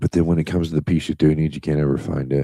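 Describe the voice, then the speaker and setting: At a very fast pace, the speaker uses fairly even intonation and a dark, mellow tone. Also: man. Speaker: LEGO building streamer. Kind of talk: casual live building commentary. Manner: deadpan sarcastic.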